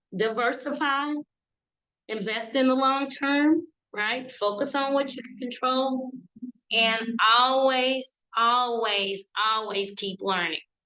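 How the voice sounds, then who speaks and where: A woman in a Southern US accent, high-pitched with a bright, sharp tone, very slow, with ordinary pitch variation and big swings in loudness. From Mississippi. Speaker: financial advisor. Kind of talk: webinar presentation.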